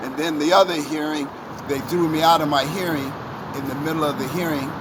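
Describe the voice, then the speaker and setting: This man talks at a fairly quick pace with a fairly high pitch and monotone, flat intonation. Audible room echo and noticeable background noise fill the recording. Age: 70s. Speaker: member of the public interviewed outside court. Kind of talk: street interview.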